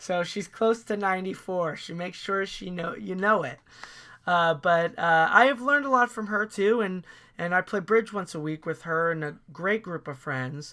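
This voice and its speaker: A man speaks in a raised, projected voice, high and bright with a sharp tone. His pace is moderate and his pitch varies in an ordinary way. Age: 30s. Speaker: actor and author. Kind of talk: casual chat.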